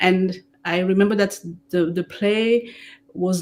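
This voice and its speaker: This is a woman with a medium pitch. She speaks in a French accent. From Democratic Republic of Congo, Rwandan family. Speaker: theatre director and playwright. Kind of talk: interview on stage. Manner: halting, frequent repetitions.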